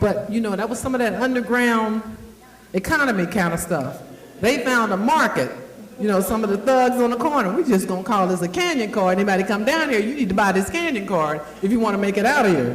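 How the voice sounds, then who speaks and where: Very fast, animated speech from a woman at fairly high pitch, with audible room echo and noticeable background noise. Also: lively intonation. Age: 60s. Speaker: event host and agency founder. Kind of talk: speech to a live audience.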